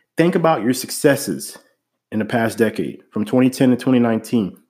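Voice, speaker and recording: The recording is very clean, with a silent background. A man talks at a moderate pace with lively intonation. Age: 30s. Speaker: podcast host and real estate investor. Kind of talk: solo monologue podcast.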